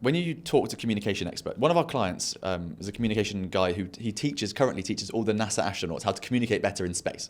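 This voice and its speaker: A man with a British accent talks very fast with hardly any pauses. His fairly low voice has lively intonation, and the recording is very clean with a silent background. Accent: regional British. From England. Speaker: podcast host and entrepreneur. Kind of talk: casual interview chat.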